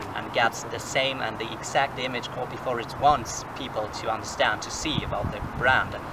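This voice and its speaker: Loud background noise runs under speech at a moderate pace with hardly any pauses. The intonation is monotone and flat. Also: man, medium pitch for a man. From central Germany. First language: German. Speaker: exchange student. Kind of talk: casual chat. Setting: outdoors. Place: forest. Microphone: camera far.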